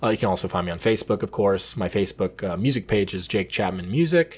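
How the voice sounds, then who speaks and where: Recorded very cleanly against a silent background, a man speaks with an American accent at a fairly low pitch. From Los Angeles, US. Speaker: jazz vibraphonist. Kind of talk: casual chat. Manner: hesitant, many ums.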